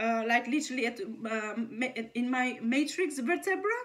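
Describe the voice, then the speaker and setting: This woman has a non-native accent. Her pitch swings very widely. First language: not English. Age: 30s. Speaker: video blogger. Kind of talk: personal testimony monologue. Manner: halting, many restarts and fillers.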